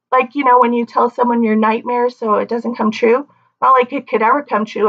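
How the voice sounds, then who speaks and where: A woman is talking. She has a high pitch. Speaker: vlogger. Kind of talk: casual vlog monologue. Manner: stuttering, halting.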